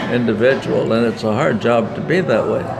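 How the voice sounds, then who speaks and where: A man at medium pitch and moderate pace with ordinary pitch variation, against noticeable background noise and audible room echo. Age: 90s. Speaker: war veteran. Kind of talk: interview. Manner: halting.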